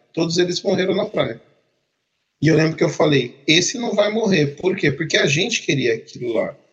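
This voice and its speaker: Lively intonation at a moderate pace. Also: man, high pitch for a man. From Brazil, Campinas (São Paulo state). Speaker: project manager, podcast co-host. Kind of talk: casual chat.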